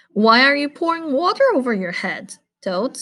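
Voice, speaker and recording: A put-on character voice from a woman, high in pitch and moderate in pace. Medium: read story.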